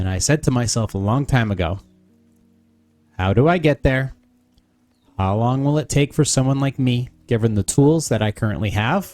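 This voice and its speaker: Soft-spoken and medium in pitch, a man talks at a moderate pace with lively intonation while music plays in the background. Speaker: podcaster. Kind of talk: reading aloud.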